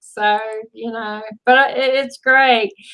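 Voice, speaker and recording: A woman talks at a very slow pace in a raised, projected voice. Her pitch is high, with ordinary variation and a bright, sharp tone. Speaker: interview host. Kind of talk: live online interview host talk.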